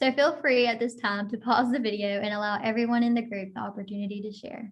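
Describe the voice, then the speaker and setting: A somewhat breathy woman with an American accent talks at a very fast pace. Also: fairly high pitch for a woman, fairly even intonation. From Florida, small town. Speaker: occupational therapy student. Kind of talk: scripted group session presentation.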